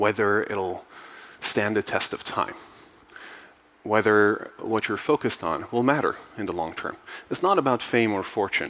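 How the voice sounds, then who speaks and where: A man's fairly low voice at a moderate pace, broken by long, frequent pauses. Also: ordinary pitch variation. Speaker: conference speaker. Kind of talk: keynote talk. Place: stage. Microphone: headset.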